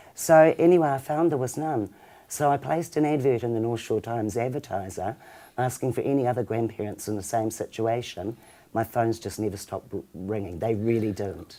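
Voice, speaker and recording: With a New Zealand accent, a woman speaks at a fairly quick pace with lively intonation. Her voice is very deep and low, with a dark, mellow tone. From New Zealand, Auckland. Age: 60s. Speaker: charity founder. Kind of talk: interview.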